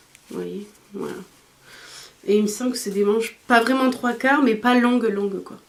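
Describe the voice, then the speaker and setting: A woman with a fairly high voice and fairly even intonation talks while noticeable background noise and audible room echo fill the recording. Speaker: beauty and fashion vlogger. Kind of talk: haul video, casual talk to camera. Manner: hesitant, many fillers.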